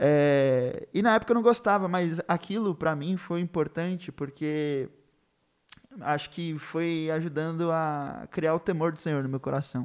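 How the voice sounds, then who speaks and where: Speaking at a fairly slow pace, a man with an ordinary speaking voice and a fairly high pitch uses ordinary pitch variation. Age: 20s. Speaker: literature teacher. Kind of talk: casual chat.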